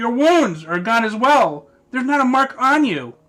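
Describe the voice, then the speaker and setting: A man puts on a character voice at an extremely high pitch. His tone is nervous. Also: moderate pace. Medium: read story. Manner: stammering, nervous.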